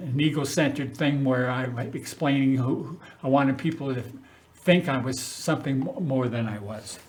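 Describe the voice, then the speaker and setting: A man's fairly high, somewhat breathy voice with an American accent, plus audible room echo. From Northern California, US. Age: 70s. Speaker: city council member. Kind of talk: personal address to community. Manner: halting.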